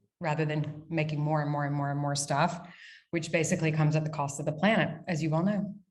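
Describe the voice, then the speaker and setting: A woman speaks at a very deep, low pitch in a monotone, flat intonation, somewhat breathy. Room echo is audible. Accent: American. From United States. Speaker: brand founder and CEO. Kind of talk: casual interview. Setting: video call from dining room. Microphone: echoey sound.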